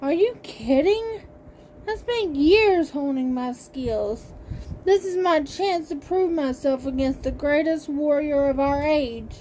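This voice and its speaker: Putting on a character voice, a woman speaks high and fairly slowly against clear background noise. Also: lively intonation. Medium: read story. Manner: sneering.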